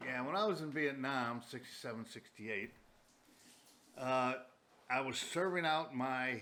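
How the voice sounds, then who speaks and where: A man talks at a fairly slow pace with long, frequent pauses and ordinary pitch variation. His tone is bright and sharp, with audible room echo. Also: medium pitch for a man. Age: 70s. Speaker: war veteran. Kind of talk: casual chat; storytelling. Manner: halting.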